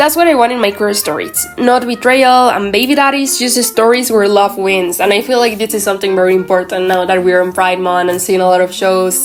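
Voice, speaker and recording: A woman with a Mexican accent talks at a fairly quick pace, her pitch medium and her pitch variation ordinary. Noticeable background noise is present. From Mexico. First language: Spanish. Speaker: anime commentary YouTuber. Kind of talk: casual vlog rant. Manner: halting, with fillers and self-corrections.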